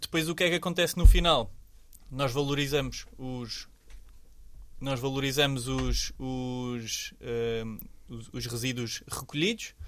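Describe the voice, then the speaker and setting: Pausing long and often, a man speaks at a fairly slow pace with a medium pitch, ordinary pitch variation and big swings in loudness. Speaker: environmental association representative. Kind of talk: interview. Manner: halting.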